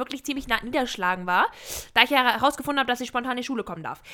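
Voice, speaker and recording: The voice is raised and projected, squeaky, with a bright, sharp tone. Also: woman. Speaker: podcast co-host. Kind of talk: casual chat.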